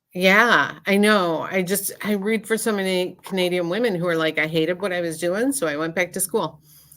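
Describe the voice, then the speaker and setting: An ordinary speaking voice with an American accent and ordinary pitch variation. It runs at a moderate pace with hardly any pauses. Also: woman, medium pitch for a woman. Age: 60s. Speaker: psychic medium doing live readings. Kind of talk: casual chat. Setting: livestream video call.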